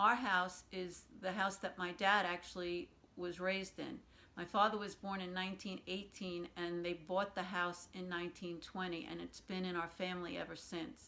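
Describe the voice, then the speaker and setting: A woman speaks with a Brooklyn accent at a medium pitch. Her tone is bright and sharp, and her intonation is monotone and flat. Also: moderate pace. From New York City, Brooklyn. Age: 60s. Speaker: oral history interviewee. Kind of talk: oral history interview.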